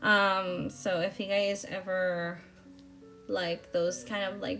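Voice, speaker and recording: Over music in the background, a woman speaks at medium pitch. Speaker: planner vlogger. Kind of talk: voiceover narration. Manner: hesitant, many fillers.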